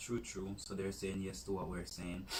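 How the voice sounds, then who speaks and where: A man speaks in a somewhat breathy, fairly low voice. Audible room echo surrounds him. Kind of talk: casual chat.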